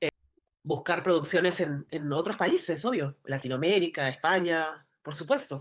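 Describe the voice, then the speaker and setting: A Lima accent at a moderate pace, ordinary pitch variation, and a quiet background. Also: woman, fairly low pitch for a woman. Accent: Peruvian, Lima. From Peru, Lima. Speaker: actress. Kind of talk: interview conversation. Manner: halting.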